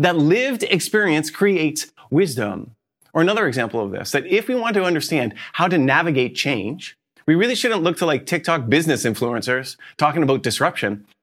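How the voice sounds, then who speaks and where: Vocal fry runs through a man's fairly high voice as he talks at a fairly quick pace with very wide pitch swings, in a very clean recording with a silent background. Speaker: pastor. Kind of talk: sermon. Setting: church.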